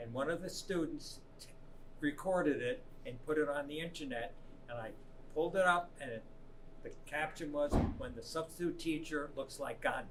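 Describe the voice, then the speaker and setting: A man's voice with long, frequent pauses, big swings in loudness, and audible room echo. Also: fairly high pitch for a man, ordinary pitch variation, moderate pace. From New York City area, US. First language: Italian. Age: 70s. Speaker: substitute teacher. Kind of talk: interview. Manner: halting.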